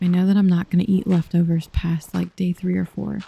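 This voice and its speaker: Soft-spoken and medium in pitch, a woman's voice comes through with a dry, close sound and no echo. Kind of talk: soft-spoken ASMR gaming chat.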